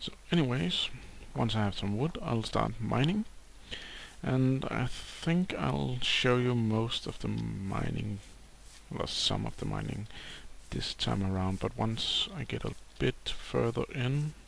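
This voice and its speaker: The pace is very slow. The speaker has a Danish accent. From Denmark. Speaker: gaming YouTuber. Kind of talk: gameplay commentary.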